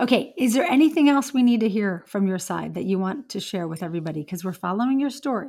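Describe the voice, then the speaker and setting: At a very fast pace with hardly any pauses, the voice is dark, mellow and somewhat breathy, with very wide pitch swings on a very clean recording with a silent background. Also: woman, medium pitch for a woman. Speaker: YouTube host and coach. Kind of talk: casual interview chat.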